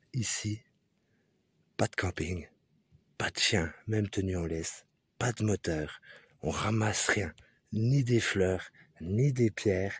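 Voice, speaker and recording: Soft-spoken and somewhat breathy, the voice moves very slowly with long, frequent pauses and ordinary pitch variation, in a dry, close sound with no echo. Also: man, fairly low pitch for a man. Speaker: hiking vlogger. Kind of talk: vlog narration while hiking. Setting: outdoors on a mountain hike. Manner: casual.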